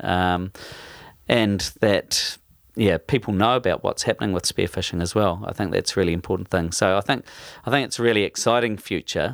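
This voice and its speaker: A man's very deep, low-pitched voice with a New Zealand accent, fairly quick in pace with ordinary pitch variation, in a dry, close sound with no echo on a very clean recording with a silent background. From New Zealand, Taranaki. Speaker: spearfisherman. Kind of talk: casual interview. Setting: home man cave. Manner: halting.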